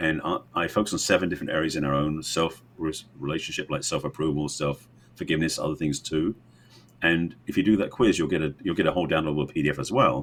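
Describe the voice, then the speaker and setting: With an English accent, a man talks at a very fast pace. His pitch is very deep and low. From England. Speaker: relationship coach. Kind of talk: podcast interview.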